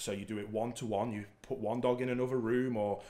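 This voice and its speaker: A man delivers his words at a moderate pace with monotone, flat intonation. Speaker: dog trainer host. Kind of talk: Q&A explanation. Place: home room. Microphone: studio mic.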